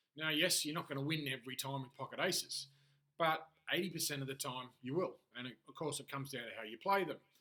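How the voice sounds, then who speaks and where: In an Australian accent, a man with a fairly high pitch and a bright, sharp tone speaks at a very fast pace with ordinary pitch variation. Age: 40s. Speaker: life and business coach, aspiring poker player. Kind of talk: solo monologue video diary. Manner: can sound harsh and demanding.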